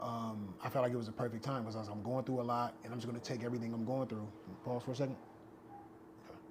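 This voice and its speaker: A man at a medium pitch rushes along at a very fast pace yet leaves long, frequent pauses, his intonation monotone and flat amid noticeable background noise. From US West Coast, Long Beach, California. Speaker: actor and rapper. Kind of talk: podcast interview. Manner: conversational, casual.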